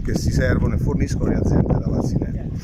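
Loud background noise sits behind a man's dry voice with no echo. He speaks at a very fast pace. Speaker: local council representative. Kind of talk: interview answer. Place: street. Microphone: phone near.

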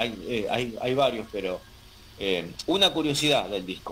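A man speaks at a very slow pace with very wide pitch swings, with noticeable background noise. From Argentina. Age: 40s. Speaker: metal musician. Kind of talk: interview.

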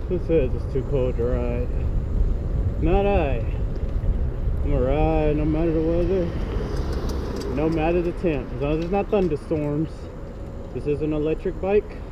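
Over noticeable background noise, a man speaks at a moderate pace with long, frequent pauses. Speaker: electric bike rider. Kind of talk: casual ride vlog talk. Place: motorbike. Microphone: helmet.

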